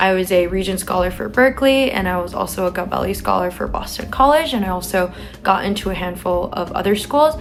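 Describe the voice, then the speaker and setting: A woman with a West Coast accent talks at a fairly quick pace with lively intonation. Noticeable background noise runs underneath. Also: medium pitch for a woman. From San Francisco, California. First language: Chinese. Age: young. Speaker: college student vlogger. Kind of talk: advice vlog. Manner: casual with filler words.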